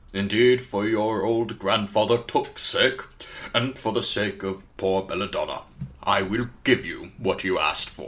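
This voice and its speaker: Put-on character voice from a man, moderately paced and medium-pitched. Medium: audio drama. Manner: precise, wry, grandly teasing.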